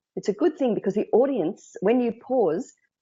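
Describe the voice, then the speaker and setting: In an Australian accent, a woman talks at a fairly slow pace with lively intonation. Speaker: speaking coach. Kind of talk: interview.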